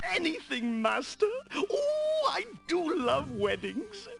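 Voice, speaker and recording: A put-on character voice speaks at a fairly slow pace. Faint music plays in the background. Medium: game stream. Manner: fawning, eager.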